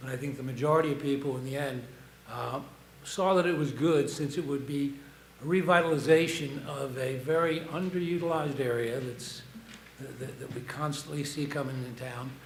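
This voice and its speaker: A man talks at a moderate pace with fairly high pitch and fairly even intonation. Noticeable background noise and audible room echo surround him. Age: 70s. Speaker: public commenter at town council meeting. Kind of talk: public comment. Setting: town council meeting. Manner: halting.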